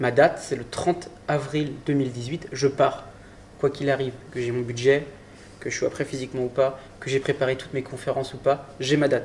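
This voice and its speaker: Fairly quick, somewhat breathy speech from a man, fairly high-pitched and monotone, with flat intonation. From Brittany, France (Saint-Malo). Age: 20s. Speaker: adventurer. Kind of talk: interview. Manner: halting, with repetitions.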